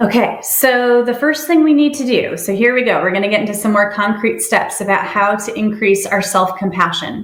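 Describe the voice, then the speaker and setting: An American woman with a normal speaking voice talks at a moderate pace with a fairly high pitch, ordinary pitch variation, and hardly any pauses. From New York (Brooklyn, upstate New York). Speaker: social worker. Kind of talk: workshop presentation. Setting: webinar. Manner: frequent filler 'um'.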